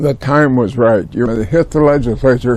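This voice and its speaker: Speaking with an American accent, a man keeps a medium pitch. He goes at a fairly slow pace over noticeable background noise. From US Pacific Northwest, Tacoma. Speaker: retired environmental lawyer. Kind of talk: oral history interview. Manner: halting.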